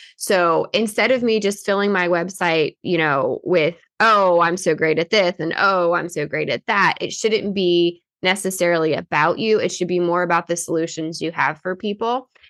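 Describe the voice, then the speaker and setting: A woman's fairly low voice at a moderate pace against a quiet background. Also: hardly any pauses. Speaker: insurance marketing host. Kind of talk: casual chat. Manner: animated.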